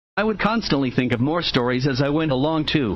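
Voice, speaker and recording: The voice carries vocal fry. Its pace is fairly quick. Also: man. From United States, moved around (Midwest and South). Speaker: writer reading his own work. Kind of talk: reading aloud of his own memoir.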